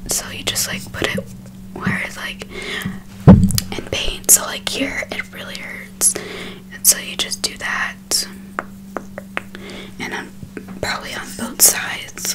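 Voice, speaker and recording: A woman's whisper moves very slowly, with long, frequent pauses throughout. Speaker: ASMR creator. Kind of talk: casual ASMR haul talk to camera. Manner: soft whispering. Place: home room. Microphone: studio mic.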